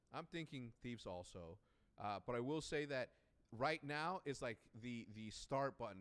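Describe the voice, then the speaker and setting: Speaking at a fairly quick pace with a non-native accent, a man uses a medium pitch and ordinary pitch variation. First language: not English. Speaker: esports commentator. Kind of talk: casual panel chat.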